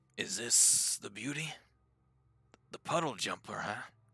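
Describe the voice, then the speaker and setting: Put-on character voice, rough and raspy. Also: man, fairly high pitch for a man, fairly slow pace. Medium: actual play. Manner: stammering, hesitant.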